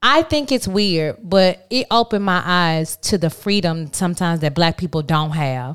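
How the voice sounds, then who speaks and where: On a very clean recording with a silent background, an ordinary speaking voice shows ordinary pitch variation at a moderate pace. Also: woman. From Texas. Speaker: podcast co-host. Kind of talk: casual chat.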